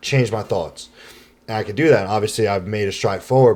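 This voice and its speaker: A man talks at a very fast pace. His pitch sits fairly low. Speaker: podcast co-host. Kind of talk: casual chat.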